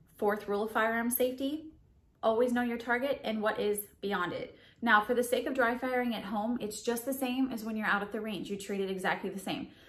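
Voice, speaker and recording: A woman talks at a fairly quick pace in a high voice. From Southern United States. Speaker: firearms instructor. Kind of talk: instructional tutorial to camera. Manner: friendly, encouraging. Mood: friendly, upbeat. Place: home room.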